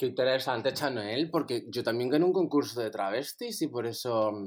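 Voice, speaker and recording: Here is a man with an unremarkable speaking voice at a medium pitch. He talks at a moderate pace with lively intonation. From Spain, Andalusia (Torremolinos). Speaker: drag performer. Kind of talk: casual chat.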